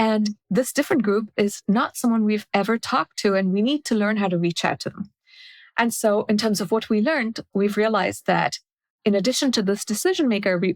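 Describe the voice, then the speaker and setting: Fairly quick speech with a Marathi accent and ordinary pitch variation, dry and close with no echo, on a very clean recording with a silent background. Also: woman. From India, then South Africa from twelve. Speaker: product strategy author and consultant. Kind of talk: podcast interview. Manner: explanatory, structured.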